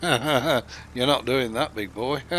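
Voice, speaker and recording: This man has a northern English accent. His tone is bright and sharp. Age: 60s. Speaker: gaming streamer. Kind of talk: live gameplay stream chat. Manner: casual, hesitant with fillers.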